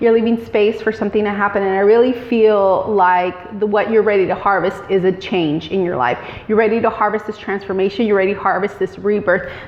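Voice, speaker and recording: Over noticeable background noise, a woman at a medium pitch talks at a fairly quick pace with hardly any pauses. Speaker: tarot reader. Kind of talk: tarot reading monologue. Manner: filler-heavy with frequent um.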